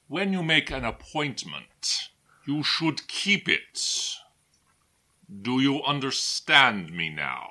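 Putting on a character voice, a man speaks very slowly in a raspy, fairly high voice with long, frequent pauses. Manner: cold, formal, imperious.

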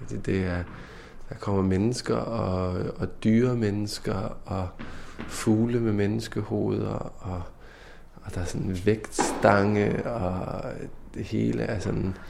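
Delivered at a very slow pace with lively intonation, the speech carries audible room echo. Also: man, very deep, low pitch for a man. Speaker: podcast host. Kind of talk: casual chat and interview.

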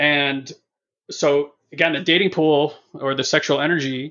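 In a plain, everyday voice, a man speaks at a fairly high pitch with fairly even intonation. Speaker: personal development educator. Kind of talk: casual conversation.

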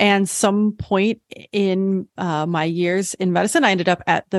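A woman with a plain, everyday voice, medium pitch, ordinary pitch variation and an American accent, in a dry, close sound with no echo. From US Midwest, southern Illinois. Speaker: physician and psychedelic medicine advocate. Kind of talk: interview.

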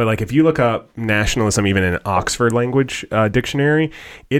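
Over a very clean recording with a silent background, a man with an American accent talks at a fairly quick pace. He has a plain, everyday voice with ordinary pitch variation. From United States. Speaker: co-host and pastor. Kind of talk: casual podcast discussion.

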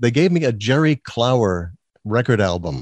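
Speaking with an American accent at a fairly quick pace, a man of medium pitch is heard in a dry, close sound with no echo against a quiet background.

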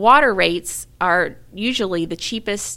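A woman speaks at a medium pitch with an American accent. Her pitch varies in an ordinary way, and there is vocal fry in her voice. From US South, Mobile, Alabama. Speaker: engineering director. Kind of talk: interview.

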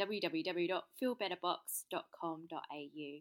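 In an English accent, the speaker goes at a very slow pace with ordinary pitch variation and a bright, sharp tone on a very clean recording with a silent background. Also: woman. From England. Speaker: small business owner. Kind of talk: interview. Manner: hesitant, many fillers.

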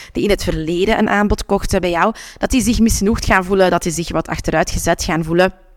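Heard in a dry, close sound with no echo, a woman speaks at a medium pitch. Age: 30s. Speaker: podcast host and business coach. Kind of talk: solo podcast tips talk. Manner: animated.

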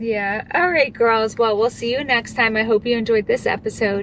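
The speaker is a woman with a fairly high pitch. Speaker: podcast co-host. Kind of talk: casual chat. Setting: studio.

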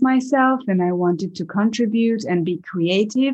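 Against a quiet background, a woman speaks with a Hungarian accent. Her pace is fairly slow, and her pitch varies in an ordinary way. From Hungary, small village. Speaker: actress and acting coach. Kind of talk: interview. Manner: halting.

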